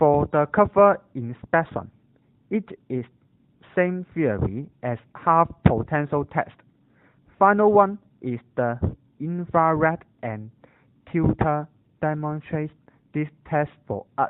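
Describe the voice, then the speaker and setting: The speaker has a Cantonese accent and talks at a very slow pace. Long pauses come often. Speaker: university student. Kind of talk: scripted narration.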